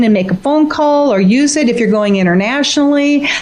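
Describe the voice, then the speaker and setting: Lively intonation marks this woman's fairly quick speech, heard with audible room echo and noticeable background noise. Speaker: author and former flight attendant. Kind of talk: radio interview. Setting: radio show. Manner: animated.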